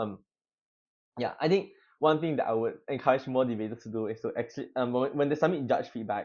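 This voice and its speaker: A man rattles along at a very fast pace, his pitch medium and its variation ordinary. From East Malaysia. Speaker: competitive debater. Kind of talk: podcast interview. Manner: frequent fillers and hesitations; casual.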